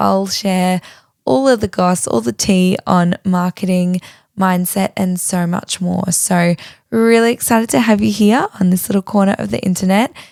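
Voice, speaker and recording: A woman's medium-pitched voice at a moderate pace, with ordinary pitch variation and a dry, close sound free of echo. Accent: Australian. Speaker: podcast host. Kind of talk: podcast intro, casual chat. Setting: home recording on bedroom floor.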